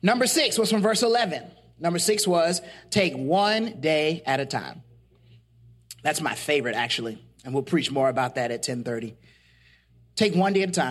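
Spoken at a moderate pace in an animated tone, the voice comes with long, frequent pauses over a very clean recording with a silent background. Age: 40s. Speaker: podcast host and faith teacher. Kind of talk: sermon-style podcast teaching.

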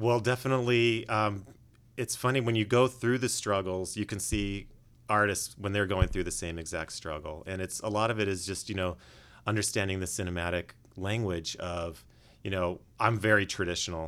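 With a Californian accent, a man of fairly low pitch speaks at a moderate pace and ordinary pitch variation, recorded very cleanly against a silent background. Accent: General American (Californian). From US West, Los Angeles. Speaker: animation director. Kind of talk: interview. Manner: clear and polished.

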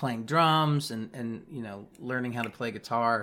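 A man speaks fairly slowly with an American accent. He has an ordinary speaking voice with ordinary pitch variation. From US Midwest. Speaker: musician. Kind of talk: casual interview chat.

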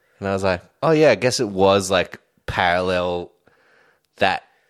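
On a very clean recording with a silent background, a man with an Australian accent speaks at a fairly slow pace in a very deep, low voice. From Australia, Sydney (Homebush). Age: 30s. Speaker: drummer. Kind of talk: casual chat.

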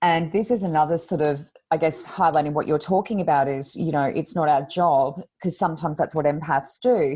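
A woman talks at a fairly quick pace with an Australian accent and hardly any pauses. Her very deep, low pitch carries a dark, mellow tone and ordinary pitch variation. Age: 40s. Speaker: podcast co-host and psychic reader. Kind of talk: casual interview. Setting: video call.

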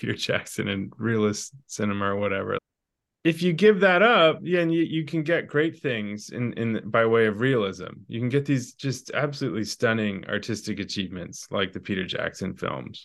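A man with an unremarkable speaking voice talks at medium pitch and a moderate pace. His intonation is lively, and the background is quiet. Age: 40s. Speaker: novelist. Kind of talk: casual chat.

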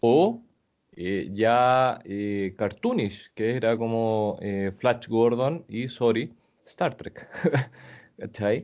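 In a Chilean accent, a man at medium pitch talks very slowly, with ordinary pitch variation and long, frequent pauses. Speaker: podcast host. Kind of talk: casual chat.

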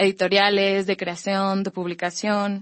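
A woman's voice at a medium pitch. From Mexico, Campeche. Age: 20s. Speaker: young writer and literature student. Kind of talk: panel discussion.

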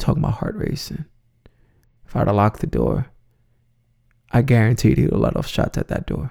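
A man with an American accent at a moderate pace, broken by long, frequent pauses. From New York City (Bronx). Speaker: podcast host, suicide survivor. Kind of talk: personal storytelling monologue.

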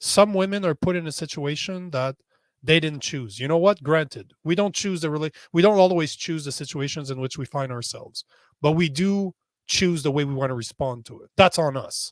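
In an unremarkable speaking voice, a man with a Canadian accent talks at a moderate pace, his pitch fairly high and his intonation lively, with big swings in loudness. The recording is very clean with a silent background, and the sound is dry and close with no echo. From Canada. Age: 40s. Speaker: social media strategist and podcaster. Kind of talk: interview.

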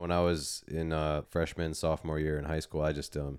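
A man's very deep, low, monotone voice with flat intonation at a moderate pace, on a very clean recording with a silent background. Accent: American. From Minnesota, US. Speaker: army veteran and adaptive CrossFit athlete. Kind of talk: casual interview chat.

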